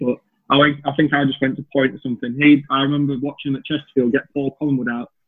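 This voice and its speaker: This man talks at a fairly quick pace in a fairly high voice with a Lancashire accent. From northern England, Chorley, Lancashire. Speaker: professional cricketer. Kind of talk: casual chat.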